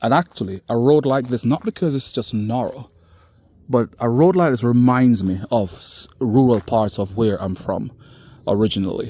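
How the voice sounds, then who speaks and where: A man's dark, mellow voice in a Caribbean accent, medium in pitch, at a moderate pace with ordinary pitch variation. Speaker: vlogger. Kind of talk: walking vlog commentary. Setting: outdoors. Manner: animated.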